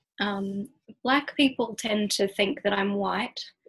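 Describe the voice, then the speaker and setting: Speaking very slowly in an Australian accent, a woman uses a fairly high pitch with ordinary pitch variation. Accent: Australian, heard as English by Americans. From Australia, Sydney. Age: 30s. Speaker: poet and creative writing lecturer. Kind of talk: casual podcast interview.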